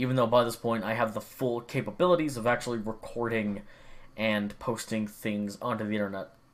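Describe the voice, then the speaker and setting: In an unremarkable speaking voice, a man at medium pitch talks at a fairly quick pace with fairly even intonation. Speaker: gaming vlogger. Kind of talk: casual monologue.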